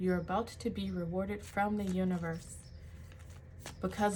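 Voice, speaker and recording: A woman speaks at a moderate pace, and audible echo from the room surrounds her. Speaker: tarot reader and life coach. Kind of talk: tarot reading.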